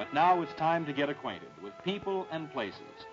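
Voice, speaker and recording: Faint music sits behind a man talking at a moderate pace. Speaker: film narrator. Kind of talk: documentary narration. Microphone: old recording.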